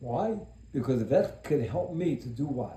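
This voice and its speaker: There is audible room echo around a man's dark, mellow voice. He talks at a fairly slow pace with very wide pitch swings. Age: 70s. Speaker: self-help speaker. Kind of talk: motivational monologue. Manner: serious; talkative.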